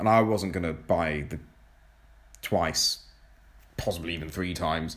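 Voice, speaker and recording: Audible room echo surrounds a man with a very deep, low pitch. He speaks at a moderate pace with ordinary pitch variation. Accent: English. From England. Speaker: podcast host. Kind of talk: solo podcast monologue. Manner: hesitant, many fillers.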